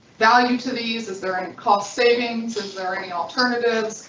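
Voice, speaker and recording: Moderate speed from a woman pitched fairly high, amid noticeable background noise and audible room echo. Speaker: district manager. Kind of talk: public board meeting. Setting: meeting room with voice-activated microphones. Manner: stuttering.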